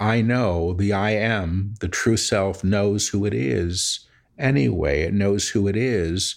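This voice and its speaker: Over a silent background in a very clean recording, a man uses a plain, everyday voice, fairly low in pitch with ordinary variation. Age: 50s. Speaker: spiritual medium and author. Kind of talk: interview conversation.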